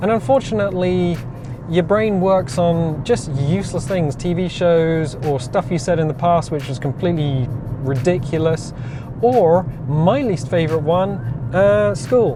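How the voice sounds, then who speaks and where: A man with an Oxford accent, fairly high pitch, lively intonation and a fairly slow pace, amid audible room echo and music in the background. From Oxfordshire, southern England. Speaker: vlogger. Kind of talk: casual chat. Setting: in a car.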